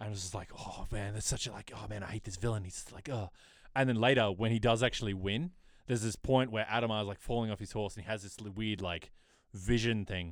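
On a very clean recording with a silent background, a man with a normal speaking voice talks at a fairly quick pace and fairly low pitch, his intonation fairly even but with big swings in loudness. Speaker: podcast host. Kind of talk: casual chat.

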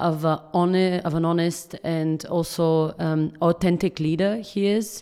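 On a very clean recording with a silent background, a woman with a fairly low pitch and a dark, mellow tone speaks at a fairly slow pace. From Bulgaria. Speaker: startup founder and CEO. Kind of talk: interview. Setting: office.

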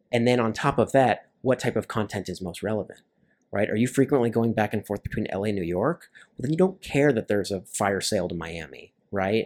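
Here is a man with a General American accent and an ordinary speaking voice, pitched fairly low. His loudness swings widely over a very clean recording with a silent background. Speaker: traveler and aviation sales professional. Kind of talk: casual chat.

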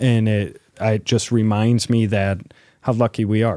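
With a Midwestern American accent, a dark, mellow voice moves at a fairly slow pace on a very clean recording with a silent background. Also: man. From northern Illinois (Rockford). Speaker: city mayor. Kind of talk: interview.

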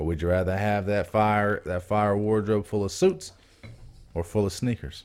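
Speaking in an ordinary speaking voice, a man with a fairly low pitch talks at a moderate pace with fairly even intonation. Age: 20s. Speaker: podcast co-host. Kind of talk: casual chat.

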